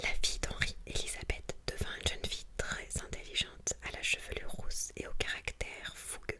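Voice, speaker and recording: In a calm tone, a woman whispers at a moderate pace over noticeable background noise. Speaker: ASMR content creator. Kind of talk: whispered book reading for ASMR. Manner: whispered, soft-spoken, calm.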